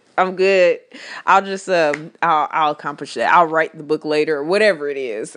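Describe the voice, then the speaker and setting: A woman speaks in an animated tone. Her pitch sits fairly low. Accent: American. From Texas. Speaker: podcast host. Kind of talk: casual solo podcast monologue.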